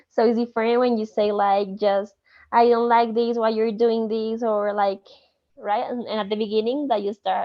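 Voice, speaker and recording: A woman in a Spanish accent with a fairly high pitch, fairly even intonation and a moderate pace. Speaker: student. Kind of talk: study group discussion.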